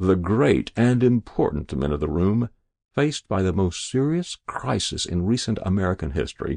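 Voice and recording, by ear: Over a quiet background, a speaker is reading aloud in a natural voice with lively intonation.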